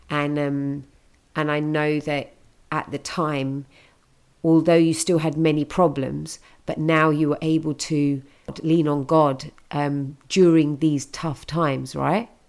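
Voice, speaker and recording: A woman with a British accent speaks at a fairly slow pace in a very deep, low voice and a monotone, flat intonation, on a very clean recording with a silent background. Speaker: podcast host. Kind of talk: interview chat.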